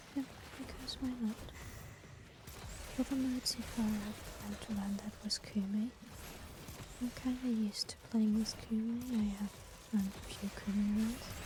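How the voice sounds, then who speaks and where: A whispered voice comes through noticeable background noise, broken by long, frequent pauses. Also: fairly slow pace. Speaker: vtuber gamer. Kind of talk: gaming commentary to stream. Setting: home setup, not a proper microphone.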